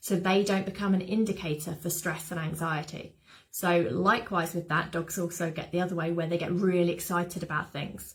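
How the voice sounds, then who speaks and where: A woman speaks in a British accent at a fairly quick pace. Her fairly low voice is somewhat breathy, with fairly even intonation. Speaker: dog behaviour specialist. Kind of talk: webinar talk. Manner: whispering in part.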